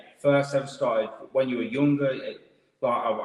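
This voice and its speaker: A man speaks with an East Midlands accent. His pace is fairly quick. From Leicester, East Midlands. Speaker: podcast host. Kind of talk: casual interview. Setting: live stream.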